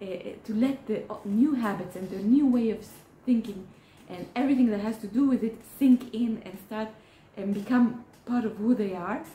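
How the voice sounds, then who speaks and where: With an Israeli accent, a woman speaks in a fairly high pitch with fairly even intonation and big swings in loudness, over noticeable background noise. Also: moderate pace. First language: Hebrew. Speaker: therapist. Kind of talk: educational talk. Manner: halting, many fillers.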